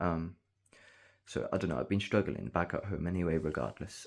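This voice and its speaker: Soft-spoken with vocal fry, the voice shows ordinary pitch variation on a very clean recording with a silent background. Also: man. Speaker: vlogger. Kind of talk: casual monologue.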